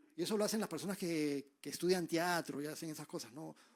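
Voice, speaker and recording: Silence fills the background of a very clean recording. The delivery moves fairly quickly. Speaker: preacher. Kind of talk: sermon. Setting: church with livestream. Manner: fast.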